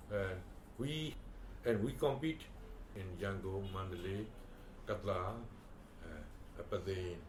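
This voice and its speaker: Lively intonation runs through this man's speech, heard with audible room echo and noticeable background noise. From Myanmar, Delta region. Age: 80s+. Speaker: former ambassador and educationalist. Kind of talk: oral history interview. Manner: halting, many fillers.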